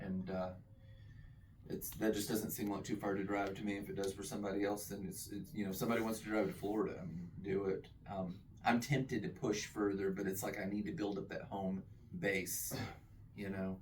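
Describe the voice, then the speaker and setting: In a room with audible echo, a man speaks at a fairly quick pace with a fairly low pitch and fairly even intonation. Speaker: comic book creator and author. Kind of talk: casual introductions at a meeting. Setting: comic shop meeting. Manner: fast.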